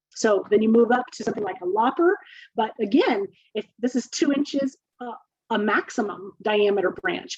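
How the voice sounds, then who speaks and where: A woman's normal speaking voice, fairly high in pitch, with lively intonation and a moderate pace. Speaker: urban horticulture extension specialist. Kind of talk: webinar lecture. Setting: online webinar.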